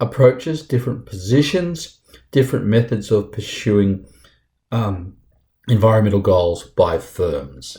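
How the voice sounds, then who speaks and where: On a very clean recording with a silent background, a somewhat breathy man speaks with lively intonation. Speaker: university lecturer. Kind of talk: lecture.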